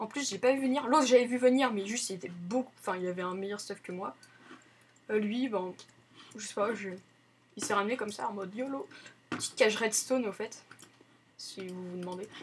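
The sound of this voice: A woman with a husky, rough edge speaks at a fairly quick pace with a medium pitch, ordinary pitch variation, and long, frequent pauses.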